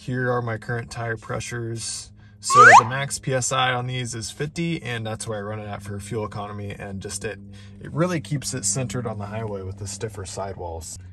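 Amid noticeable background noise, a man with a fairly low pitch talks at a moderate pace. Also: ordinary pitch variation. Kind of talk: casual vlog chat. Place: car. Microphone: phone near.

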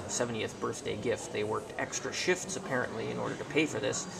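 Loud background noise sits under a man talking at a moderate pace. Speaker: museum tour narrator. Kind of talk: guided tour commentary. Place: hall. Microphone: phone near.

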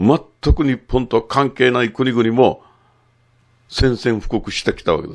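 A man speaks at a fairly slow pace, and the background is quiet. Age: 60s. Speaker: photographer and commentator; commentator. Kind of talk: monologue commentary. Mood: critical, animated. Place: studio.

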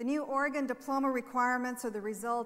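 Her voice sits at a high pitch as this woman talks. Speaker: state education official on panel. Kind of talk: prepared speech. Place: stage. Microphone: lapel.

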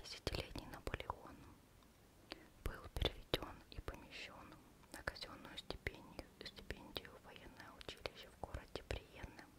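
This is a soft-spoken whisper. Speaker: reader. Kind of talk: reading aloud from a book. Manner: close, soft ASMR whisper.

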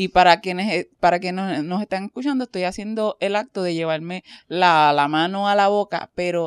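A woman's medium-pitched voice at a moderate pace with ordinary pitch variation, dry and close with no echo, on a very clean recording with a silent background. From Caribbean. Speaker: podcast host. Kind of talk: casual chat.

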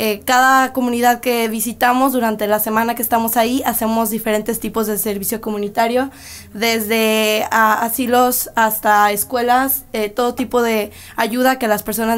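A woman speaks at a moderate pace in a flat, monotone way. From Mexico, Guadalajara; Jalisco, Mexico. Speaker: touring performer and interpreter; interviewee. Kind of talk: interview answers and interpreting. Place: studio. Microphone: podium.

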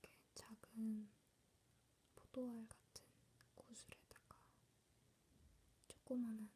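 A woman whispers at a very slow pace with long, frequent pauses. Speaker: ASMR creator. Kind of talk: ASMR show and tell. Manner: soft whisper. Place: home room. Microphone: phone near.

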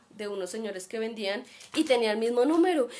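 The speaker is female. She talks at a fairly high pitch. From Colombia. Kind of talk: personal anecdote; live-streamed talk. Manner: fast. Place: home room. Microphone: webcam.

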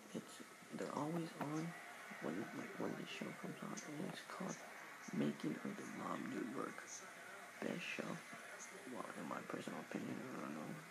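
Over loud background noise, a man talks at a moderate pace with long, frequent pauses. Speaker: vlogger reviewing a TV show. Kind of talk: casual talk to camera, TV show review. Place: home room. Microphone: webcam.

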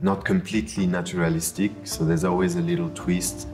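Light background noise sits behind a man with a very deep, low pitch who talks at a fairly quick pace with ordinary pitch variation. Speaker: auction house design specialist. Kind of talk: interview answer. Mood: admiring, enthusiastic. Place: hall. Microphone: lapel.

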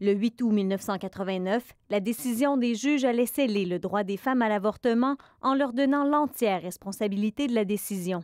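In a Quebec accent, a woman talks at a moderate pace with a fairly high pitch and ordinary pitch variation, recorded dry and close with no echo against a silent background. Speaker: TV news reporter. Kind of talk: newsreading, scripted TV report narration. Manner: formal, measured, even-paced.

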